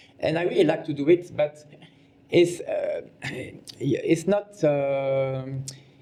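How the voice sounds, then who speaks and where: A man talks at a very slow pace with long, frequent pauses, over noticeable background noise. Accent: French. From Belgium. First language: French. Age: 50s. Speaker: fashion designer. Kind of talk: interview. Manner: halting.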